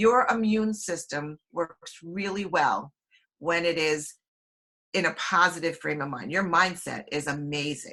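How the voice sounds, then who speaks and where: A woman speaks fairly slowly in a fairly low voice, with ordinary pitch variation. It is a plain, everyday voice. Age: 60s. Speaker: health products distributor. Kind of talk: online webinar talk.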